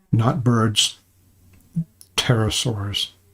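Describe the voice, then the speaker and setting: Somewhat breathy, a man speaks at a very slow pace in an American accent. His pitch variation is ordinary. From California. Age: 70s. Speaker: cryptid researcher and channel host. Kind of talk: live stream talk to viewers. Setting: live stream. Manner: halting, with repetitions.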